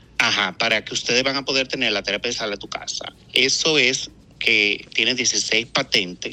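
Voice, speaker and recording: Through noticeable background noise, a man speaks at a medium pitch and moderate pace with ordinary pitch variation. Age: 40s. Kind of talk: interview testimony.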